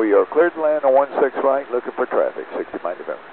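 A man talks fast at a medium pitch, with vocal fry. His pitch swings widely.

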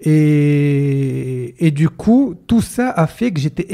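On a quiet background, a man speaks in a somewhat breathy voice with a dark, mellow tone. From Morocco. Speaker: entrepreneur and mentalist; podcast guest. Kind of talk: casual interview chat. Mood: relaxed, smiling. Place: studio. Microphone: studio mic.

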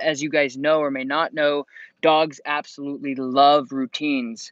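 In a quiet background, a man speaks at a fairly slow pace with monotone, flat intonation. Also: dry sound with no echo. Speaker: dog trainer. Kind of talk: live stream advice talk. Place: open country. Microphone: earbuds.

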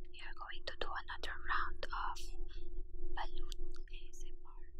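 Loud background noise surrounds a woman talking at a fairly slow pace. The sound is dry with no echo. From Philippines. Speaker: ASMR mukbang creator. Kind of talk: casual talk to camera.

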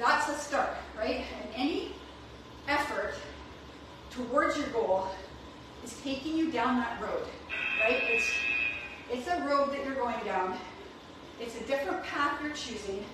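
Amid loud background noise and audible room echo, a woman speaks at a fairly slow pace. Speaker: fitness coach. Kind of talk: workout class instruction. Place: gym. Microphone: camera far.

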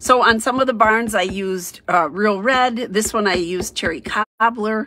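Bright, sharp tone at a moderate pace with ordinary pitch variation. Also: woman. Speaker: craft demonstrator. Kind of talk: tutorial.

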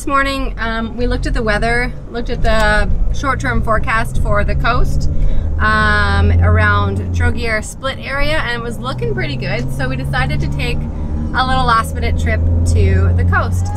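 Over loud background noise, a woman talks at a moderate pace with hardly any pauses. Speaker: travel vlogger. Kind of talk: casual vlog chat. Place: car. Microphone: phone near.

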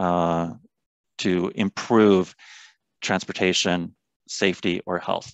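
A man with an American accent speaks at a fairly slow pace. The background is quiet and the sound dry with no echo. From Olympia, Washington; Washington. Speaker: public health researcher and lecturer; lecturer. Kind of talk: presentation. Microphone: video call.

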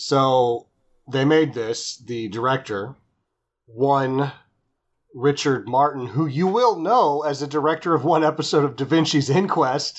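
A man with an unremarkable speaking voice talks at a fairly slow pace. His pitch is fairly high, with ordinary pitch variation. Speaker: podcast co-host. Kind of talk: casual chat. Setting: remote call, webcam mic at first. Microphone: webcam.

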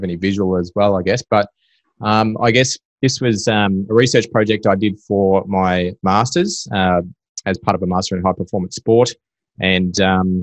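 A man with a plain, everyday voice, fairly low pitch and ordinary pitch variation, in a dry sound with no echo and a quiet background. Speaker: podcast guest, swim coach. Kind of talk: interview answer. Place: home room. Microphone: video call.

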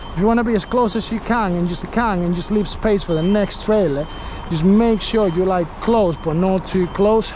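The speech moves at a fairly slow pace, the sound dry with no echo, with noticeable background noise behind it. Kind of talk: tutorial. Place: car.

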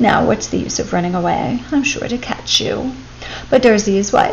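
The text is read aloud in a natural voice.

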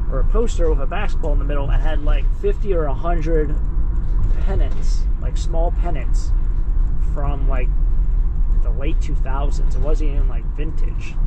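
Loud background noise fills the clip. The speech comes at a fairly slow pace. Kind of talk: casual vlog chat. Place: car. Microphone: phone near.

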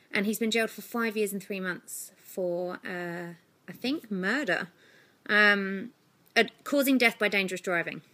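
With an English accent, a woman talks at a fairly slow pace in a bright, sharp tone, her pitch varying in an ordinary way. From UK. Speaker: vlogger. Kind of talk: vlog monologue. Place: home room. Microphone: phone near.

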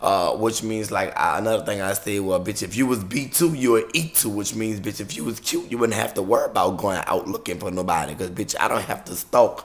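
A man's animated, fairly low voice with an American accent, moderate pace, and ordinary pitch variation. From US South, New Orleans; Louisiana. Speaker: YouTube vlogger and entertainer; YouTube vlogger. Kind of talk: casual vlog monologue to camera. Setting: recording on a camera. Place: home room. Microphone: webcam.

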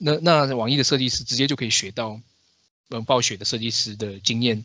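In a very clean recording with a silent background, a man with a medium-pitched voice and a bright, sharp tone speaks at a very fast pace with fairly even intonation. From Taiwan. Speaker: podcast host. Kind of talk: casual chat.

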